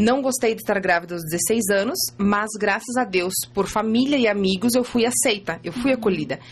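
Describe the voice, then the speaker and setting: Her voice is fairly high and somewhat breathy, with ordinary pitch variation. This woman speaks at a fairly quick pace. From Santa Catarina, Brazil (Ipumirim). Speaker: image consultant and mother of five. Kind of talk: casual interview, personal testimony. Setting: radio studio.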